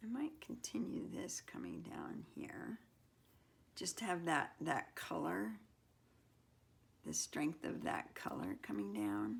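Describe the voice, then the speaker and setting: A woman's mumbling at a very slow pace, broken by long, frequent pauses. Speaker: mixed media artist. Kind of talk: casual studio tutorial narration. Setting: home art studio. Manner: mumbling, thinking aloud; hesitant, halting.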